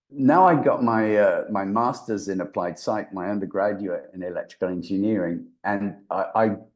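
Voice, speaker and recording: The speaker has a mild English accent and ordinary pitch variation. The pace is moderate and the background is quiet. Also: man, fairly low pitch for a man. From England. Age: 70s. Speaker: voice actor and brain reprogramming expert. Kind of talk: interview.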